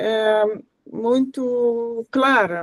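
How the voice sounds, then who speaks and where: The speaker has a non-native accent and fairly even intonation. The sound is dry and close, with no echo. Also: woman. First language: not Portuguese (speaking Portuguese). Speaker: course facilitator. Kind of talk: workshop class discussion. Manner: halting, many fillers.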